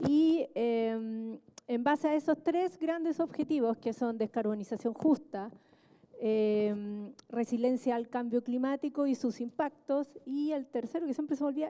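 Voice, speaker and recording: Speaking at a fairly slow pace, a woman has a high pitch, a dark, mellow tone, and ordinary pitch variation. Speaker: government official, economist. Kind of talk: panel talk. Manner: soft-spoken; halting with fillers. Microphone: quiet, asks for volume up.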